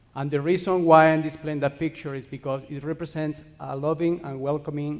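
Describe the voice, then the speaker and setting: A man speaks with a Spanish accent at a fairly high pitch. His intonation stays monotone and flat. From Spain. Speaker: cemetery ministry worker. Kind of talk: conference presentation. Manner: fast.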